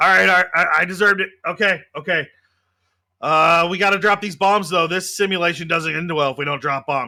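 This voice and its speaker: A man puts on a raspy, high-pitched character voice at a fairly quick pace. His intonation stays fairly even, and the recording is very clean with a silent background. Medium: actual play. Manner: casual, jokey.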